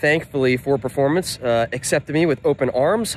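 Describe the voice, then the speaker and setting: The speaker talks at a fairly quick pace with ordinary pitch variation, in a dry recording with no echo and light background noise. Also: man. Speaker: car parts business vlogger. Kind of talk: casual vlog chat. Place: street. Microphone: phone near.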